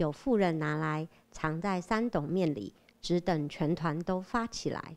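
Lively intonation at a very slow pace. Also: woman, quiet background. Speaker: scripture reader and prayer repeater. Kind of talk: reading aloud. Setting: church.

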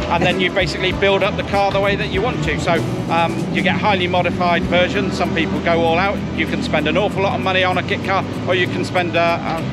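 Over loud music in the background, a man talks at a fairly quick pace in a dry sound with no echo. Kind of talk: interview answer. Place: open country.

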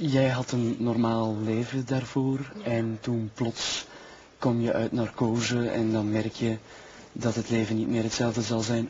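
A man with a Flemish accent and a medium-pitched voice speaks at a fairly slow pace. His intonation is fairly even, with light background noise. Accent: Flemish Dutch. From Flanders. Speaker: TV talk show host. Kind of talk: talk show interview; interview question. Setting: TV studio with audience. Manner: laughing uncontrollably; halting. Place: studio.

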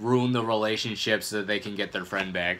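Light noise sits behind the man as he talks. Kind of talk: casual vlog chat. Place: home room. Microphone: phone near.

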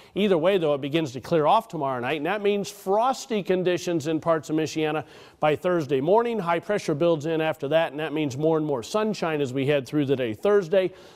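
A man uses an ordinary speaking voice, fairly high in pitch with ordinary pitch variation, barely pausing at all. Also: fairly quick pace. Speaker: weather forecaster. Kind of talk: weather forecast, conversational on-air delivery.

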